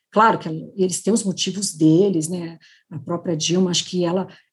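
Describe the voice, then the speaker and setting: Somewhat breathy with a dark, mellow tone, the voice moves at a moderate pace with ordinary pitch variation. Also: woman. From Brazil, interior of São Paulo state. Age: 50s. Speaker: federal prosecutor. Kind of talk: interview. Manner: halting, many fillers.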